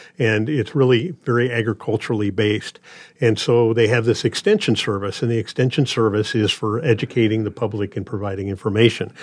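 A man with a Midwestern American accent speaks fairly quickly in a medium-pitched voice with fairly even intonation. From Nebraska. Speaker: radio reading volunteer. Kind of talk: casual interview. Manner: halting.

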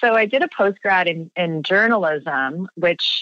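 A woman with a Canadian accent speaks at a very slow pace, her bright, sharp tone carrying lively intonation in a dry, close sound with no echo. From Canada, Ontario (near Toronto). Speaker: nonprofit founder and director. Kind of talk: interview.

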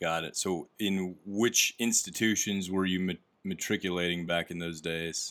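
At a fairly slow pace, a man with an American accent and a very deep, low pitch speaks on a very clean recording with a silent background. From US Midwest. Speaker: podcast host, company employee. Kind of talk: casual interview.

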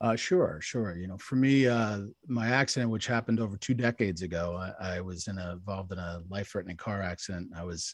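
A man with a New York accent, fairly low pitch, fairly even intonation and a fairly quick pace, over a quiet background. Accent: mild New York. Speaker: wellness expert. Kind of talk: podcast interview. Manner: fast talker.

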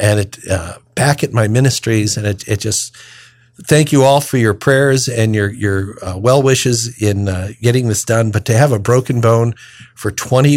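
Here is a man with a normal speaking voice, medium in pitch with ordinary pitch variation. The recording is very clean, with a silent background. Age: 60s. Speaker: deacon and radio host. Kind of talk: radio talk on scripture readings.

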